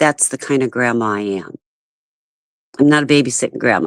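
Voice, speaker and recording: The speaker's tone is animated and the intonation lively, heard with a dry, close sound with no echo. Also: woman. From US Midwest, St. Louis. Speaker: livestreamer. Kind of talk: casual chat.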